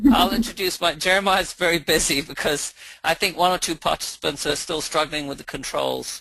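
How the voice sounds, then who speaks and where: Background noise is noticeable. The talking goes at a fairly quick pace. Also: man, high pitch for a man, ordinary pitch variation. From England. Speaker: philosophy teacher. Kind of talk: webinar introduction.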